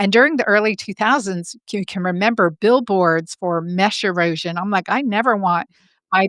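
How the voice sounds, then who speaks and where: Over a silent background on a very clean recording, a woman with an unremarkable speaking voice talks at a moderate pace with ordinary pitch variation. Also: dry, close sound with no echo. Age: 50s. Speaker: gynecologist. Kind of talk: podcast interview.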